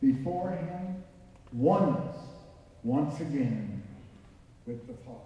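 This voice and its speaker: In a room with strong echo, a man speaks very slowly at a fairly high pitch. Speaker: preacher. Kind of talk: sermon. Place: church. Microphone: camera far.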